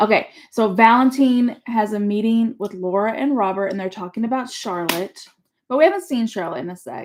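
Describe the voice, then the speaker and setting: A woman with a plain, everyday voice talks at a fairly quick pace and a fairly high pitch, with ordinary pitch variation and big swings in loudness. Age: 40s. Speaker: parent co-host. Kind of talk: casual chat.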